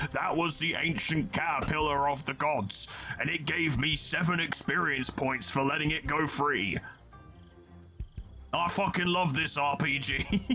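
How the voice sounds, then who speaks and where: With clear music in the background, a man does a raspy, put-on character voice. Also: fairly high pitch for a man, moderate pace. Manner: gruff, enthusiastic.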